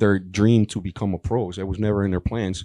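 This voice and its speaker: A man's fairly low, dark, mellow voice with a Spanish accent at a fairly quick pace, with a dry, close sound with no echo and a quiet background. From Colombia. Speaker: professional bodybuilder. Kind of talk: panel Q&A story.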